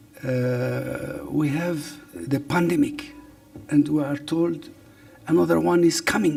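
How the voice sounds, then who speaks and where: Music can be heard underneath. Over it, a man talks very slowly. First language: Arabic (also Berber). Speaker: government official, professor. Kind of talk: press briefing. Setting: press briefing room with online audience. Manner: hesitant, many fillers.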